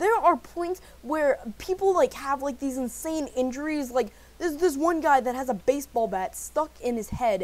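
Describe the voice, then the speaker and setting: A woman shouts loudly at a moderate pace, her high-pitched voice animated and excited with lively intonation. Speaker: movie reviewer. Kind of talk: video review. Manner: loud, yelling; animated, excited.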